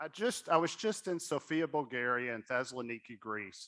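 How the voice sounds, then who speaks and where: A man with a Southern US accent speaks at a moderate pace and a medium pitch. His tone is bright and sharp, with ordinary pitch variation. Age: young. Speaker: board member and fundraising speaker. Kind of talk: fundraising appeal at a gala. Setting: stage at a gala with audience.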